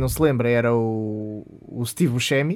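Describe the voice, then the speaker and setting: A man with a plain, everyday voice speaks at a fairly slow pace with ordinary pitch variation. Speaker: podcast co-host. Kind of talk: casual chat.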